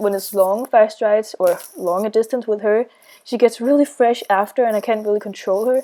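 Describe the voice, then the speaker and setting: Her tone is dark and mellow, her pitch fairly high for a woman. Intonation stays fairly even. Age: 20s. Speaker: equestrian vlogger. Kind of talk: voiceover commentary. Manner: casual, with fillers.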